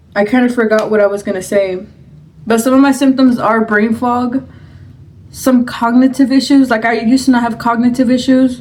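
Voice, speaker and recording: Noticeable background noise runs under the voice. Intonation is fairly even, with a moderate pace. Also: woman, high pitch for a woman. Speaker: mukbang vlogger. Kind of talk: storytime while eating. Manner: quiet, subdued; halting, searching for words.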